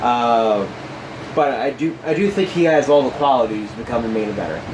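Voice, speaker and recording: Mumbling at a fairly quick pace, a man of medium pitch talks with lively intonation amid noticeable background noise and audible room echo. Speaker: wrestling podcast co-host. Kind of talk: casual chat.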